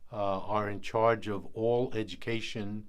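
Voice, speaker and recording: The speaker talks with a New York accent. The pace is very slow. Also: man. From New York City (South Bronx), born in Puerto Rico. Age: 80s+. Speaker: education board member and researcher. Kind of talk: interview answers.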